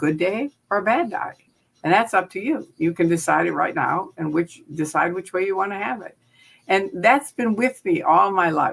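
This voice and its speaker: A medium-pitched woman's voice with an American accent, vocal fry, lively intonation and a moderate pace. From US Midwest, Chicago. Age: 70s. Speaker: former Scientology member and critic. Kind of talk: interview. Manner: animated.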